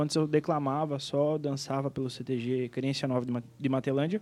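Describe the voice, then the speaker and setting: Using a normal speaking voice, a man speaks at a fairly high pitch with fairly even intonation. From Rio Grande do Sul, Brazil (Planalto). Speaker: singer and events businessman. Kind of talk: casual interview chat.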